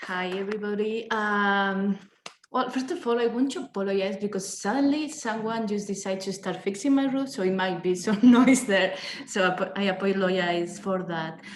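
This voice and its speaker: A woman speaks at a moderate pace with a Spanish accent, her pitch medium and its variation ordinary. Room echo is audible. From Spain. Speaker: researcher. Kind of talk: academic presentation.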